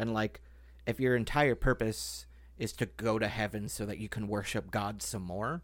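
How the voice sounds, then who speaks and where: A man's fairly low voice with vocal fry and ordinary pitch variation. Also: moderate pace, very clean recording, silent background. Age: 30s. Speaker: podcast host. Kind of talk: casual chat.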